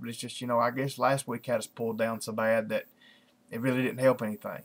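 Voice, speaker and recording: A speaker with a strong Southern US accent is heard on a very clean recording with a silent background. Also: man. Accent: strong rural Southern US. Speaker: video blogger. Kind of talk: casual vlog monologue. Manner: halting, many fillers and restarts.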